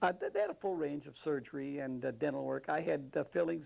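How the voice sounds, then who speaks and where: A man with an American accent, fairly high in pitch and dark, mellow in tone, at a moderate pace. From Wisconsin. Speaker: war veteran. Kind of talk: interview answer.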